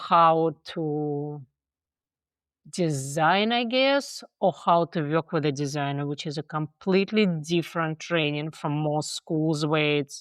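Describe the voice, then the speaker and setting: Speaking in a Russian accent, a woman with a very deep, low pitch and ordinary pitch variation goes at a fairly slow pace, the sound dry and close with no echo over a quiet background. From Russia (Moscow). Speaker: theater director and professor. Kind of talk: interview conversation.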